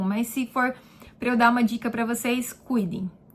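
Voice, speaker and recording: A woman speaks at a high pitch. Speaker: beauty therapist and vlogger. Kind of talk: casual vlog answering viewer questions. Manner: chatty, informal.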